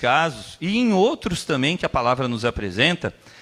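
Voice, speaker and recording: Vocal fry, a fairly slow pace and very wide pitch swings. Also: man. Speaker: preacher. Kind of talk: sermon.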